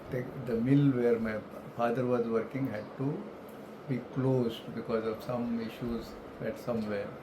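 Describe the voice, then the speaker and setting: In a room with audible echo and noticeable background noise, a man with an Indian accent speaks at a medium pitch and moderate pace in a flat monotone, taking long, frequent pauses. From India, Mumbai (Maharashtra). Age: 70s. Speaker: retired elevator industry professional. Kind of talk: life story interview. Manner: halting, with many fillers.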